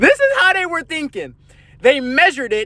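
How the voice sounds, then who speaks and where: Projecting a raised voice at a moderate pace, a man sounds animated, with a bright, sharp tone and lively intonation. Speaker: conspiracy theory commentator. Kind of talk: casual monologue.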